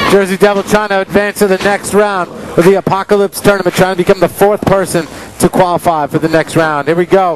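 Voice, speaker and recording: Against noticeable background noise, a man with a high voice speaks at a fairly quick pace in a monotone, flat way. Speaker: wrestling commentator. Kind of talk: wrestling commentary, bantering with co-commentator. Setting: commentary over a live match.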